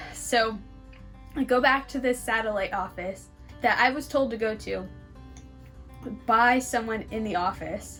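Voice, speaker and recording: Over music in the background, a woman speaks at a fairly slow pace and fairly high pitch, with fairly even intonation and long, frequent pauses. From California. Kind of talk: casual story time talk to camera.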